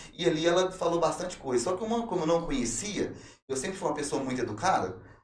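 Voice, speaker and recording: Lively intonation and a very fast pace come through noticeable background noise and audible room echo. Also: man, high pitch for a man. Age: 30s. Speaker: testimony guest, former prisoner turned preacher. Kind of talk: testimony. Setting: podcast.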